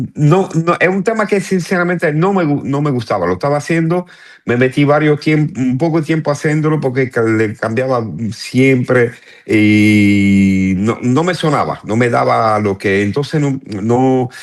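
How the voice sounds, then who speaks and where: In a Cuban accent, a man talks at a fairly slow pace with a medium pitch and lively intonation. His loudness stays very even against a quiet background. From northern Italy (Turin). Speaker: salsa pianist. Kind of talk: interview. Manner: halting, many restarts.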